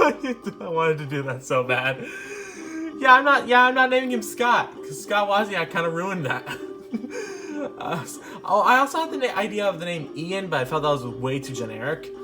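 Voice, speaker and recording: Over background music, a man with a high pitch talks at a moderate pace, with very wide pitch swings and big swings in loudness. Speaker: YouTuber showing game character concepts. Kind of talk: casual vlog talk. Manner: halting, stuttering; many fillers and restarts.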